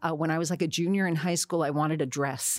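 A woman's very deep, low voice at a moderate pace, on a very clean recording with a silent background. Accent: American. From New Jersey. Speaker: actress. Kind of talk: interview.

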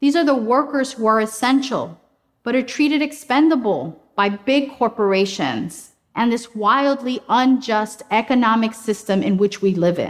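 Speaking at a moderate pace in an unremarkable speaking voice, a woman uses a fairly high pitch, lively intonation and very even loudness. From Colombia, raised in Detroit and Queens. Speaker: climate justice activist. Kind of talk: prepared talk. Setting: stage.

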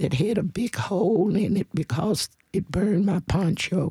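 At a very slow pace, a woman with a Southern US accent speaks in a somewhat breathy voice at a medium pitch, with a dry, close sound with no echo. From US South, Nashville. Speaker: civil rights activist. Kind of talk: testimony.

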